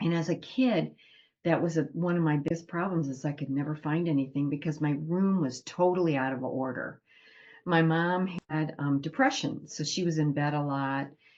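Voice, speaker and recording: A woman with an American accent speaks in a very deep, low voice at a moderate pace, her pitch rising and falling in an ordinary way. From Ohio, US Midwest. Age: 70s. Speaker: end-of-life doula and nurse. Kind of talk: informal talk to a group. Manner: conversational, some hesitations.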